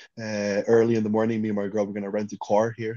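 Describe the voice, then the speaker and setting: Speaking at a very fast pace, a man with a Swedish accent talks in a fairly low pitch. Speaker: podcast host. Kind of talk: casual interview chat.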